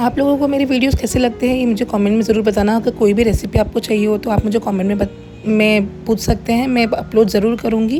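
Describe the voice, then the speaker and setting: Over noticeable background noise, a woman with a fairly high pitch talks at a moderate pace with fairly even intonation, very even loudness and hardly any pauses. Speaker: home cook running a cloud kitchen, vlogger. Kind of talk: vlog voice-over narration.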